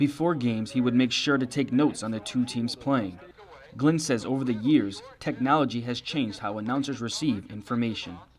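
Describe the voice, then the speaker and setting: Over noticeable background noise, a man talks at a fairly quick pace in a medium-pitched voice with ordinary pitch variation. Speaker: student journalist. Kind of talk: news feature narration.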